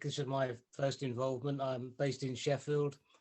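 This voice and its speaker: This man speaks at a medium pitch. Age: 60s. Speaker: retired civil servant, new volunteer. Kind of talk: casual self-introduction. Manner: halting.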